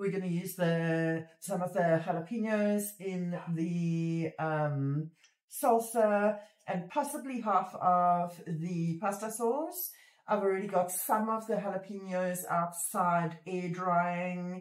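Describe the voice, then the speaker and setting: A woman at a very slow pace, with audible room echo and a quiet background. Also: ordinary pitch variation. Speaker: homestead vlogger. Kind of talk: casual vlog chat. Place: home room. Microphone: phone near.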